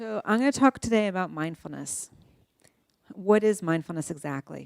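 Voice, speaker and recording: This woman has a normal speaking voice, a medium pitch and a moderate pace. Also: lively intonation, dry, close sound with no echo. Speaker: neuroscientist giving a talk. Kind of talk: lecture.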